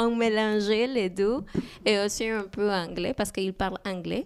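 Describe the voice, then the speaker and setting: A woman at medium pitch with fairly even intonation, in a Spanish accent. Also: very clean recording, silent background. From Peru. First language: Spanish (speaking French). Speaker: immigrant guest. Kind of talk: interview. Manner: halting.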